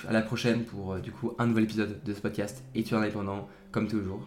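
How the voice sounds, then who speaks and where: The man speaks at a fairly quick pace. His medium-pitched voice keeps a fairly even intonation. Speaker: podcast host, student. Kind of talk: casual solo talk. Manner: halting, many fillers; relaxed.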